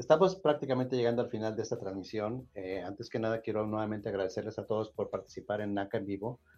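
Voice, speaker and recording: The speech runs at a very fast pace with hardly any pauses, ordinary pitch variation and a dark, mellow tone. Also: man, fairly low pitch for a man. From Mexico. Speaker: nonprofit office director hosting a housing podcast. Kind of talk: live-streamed call-in show.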